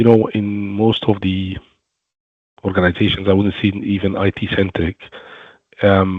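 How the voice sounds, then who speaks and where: This man has a non-native accent and a fairly low pitch, delivered in a flat monotone. He talks at a fairly slow pace, with long pauses that come often. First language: not English. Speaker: webinar co-host, security professional. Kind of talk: webinar panel discussion.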